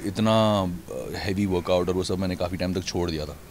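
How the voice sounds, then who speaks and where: Light background noise sits behind a man's voice. The sound is dry, without echo. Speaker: actor at press interview. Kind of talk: interview answer. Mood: calm, grateful, reflective. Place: street. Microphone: handheld.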